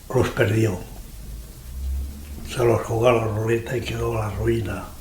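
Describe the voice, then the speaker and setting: A man's medium-pitched, flat monotone at a fairly slow pace, with audible room echo and noticeable background noise. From Andalusia, Almería. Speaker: elderly interviewee. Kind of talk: life story interview.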